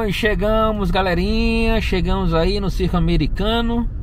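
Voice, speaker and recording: A man's voice comes through with light background noise and a dry sound with no echo. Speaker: vlogger. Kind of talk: casual vlog chat. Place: car. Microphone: phone near.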